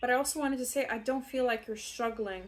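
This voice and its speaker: A woman speaks with a non-native accent. Her intonation is fairly even. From outside the UK, non-English-speaking country. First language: not English. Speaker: tarot reader. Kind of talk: tarot reading. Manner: casual, rambling with fillers.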